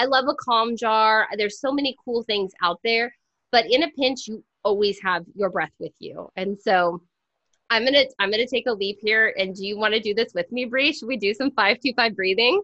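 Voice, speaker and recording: Fairly high pitch and ordinary pitch variation in a woman's voice. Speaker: podcast co-host and educator, book author. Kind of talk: casual podcast conversation; guided breathing exercise. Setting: video call. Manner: fast.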